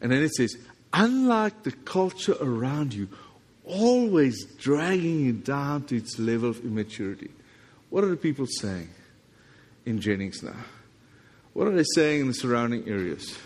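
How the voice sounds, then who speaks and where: With a South African accent, a man at medium pitch speaks at a moderate pace, his pitch swinging very widely and his speech broken by long, frequent pauses. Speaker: visiting pastor. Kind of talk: sermon. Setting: church with congregation.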